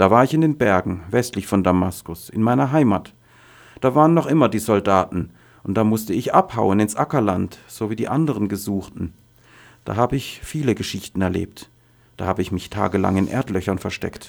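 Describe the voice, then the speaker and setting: He has an ordinary speaking voice, moving at a moderate pace with lively intonation on a very clean recording with a silent background. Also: fairly low pitch for a man. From Syria, Daraa region. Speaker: refugee, former university professor. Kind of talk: testimony.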